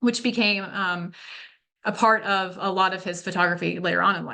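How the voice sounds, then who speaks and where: Over a quiet background, a woman speaks in a bright, sharp tone with fairly even intonation. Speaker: museum curator; presenter. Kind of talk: lecture. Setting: video call. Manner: fast. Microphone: video call.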